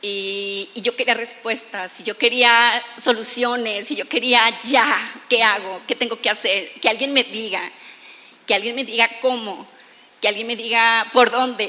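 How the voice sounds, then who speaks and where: Speaking at a fairly slow pace, a woman delivers her words in a flat monotone with a fairly high pitch. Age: 30s. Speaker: aesthetic doctor. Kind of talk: testimony. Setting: church stage with audience.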